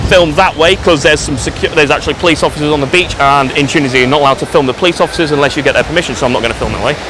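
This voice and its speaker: Noticeable background noise sits behind a man's voice. He talks at a very fast pace with hardly any pauses. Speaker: travel vlogger. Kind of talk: casual vlog walkthrough. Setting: outdoors on a beach. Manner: quiet.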